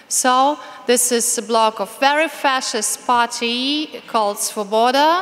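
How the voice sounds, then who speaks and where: Noticeable background noise surrounds a woman speaking. Her high pitch shows ordinary variation. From Ukraine. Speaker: activist. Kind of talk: speech.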